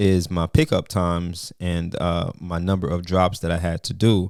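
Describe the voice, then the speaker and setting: A man with a Jamaican accent talks at a fairly slow pace in a very deep, low pitch. The recording is very clean, with a silent background. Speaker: trucking business owner, video creator. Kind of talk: casual tutorial vlog.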